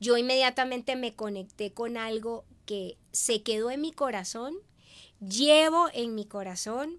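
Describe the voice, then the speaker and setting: A woman's fairly high voice at a fairly slow pace. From Venezuela. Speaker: businesswoman and media host; interview guest. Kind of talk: interview. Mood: warm, reflective testimony. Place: studio. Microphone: studio mic.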